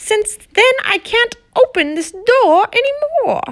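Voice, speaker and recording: A woman puts on a squeaky character voice at an extremely high pitch, with very wide pitch swings. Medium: read story. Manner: warm, welcoming.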